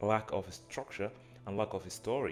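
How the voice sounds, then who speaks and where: A man with a fairly low-pitched voice talks as music plays in the background. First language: not English. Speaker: AI agency owner and YouTuber. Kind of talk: casual vlog reflection. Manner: hesitant with filler words and repetitions.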